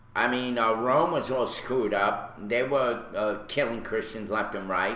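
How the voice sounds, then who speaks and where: With a Brooklyn accent, a man speaks at a fairly slow pace and medium pitch with fairly even intonation, amid noticeable background noise and audible room echo. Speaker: radio host. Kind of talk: casual chat.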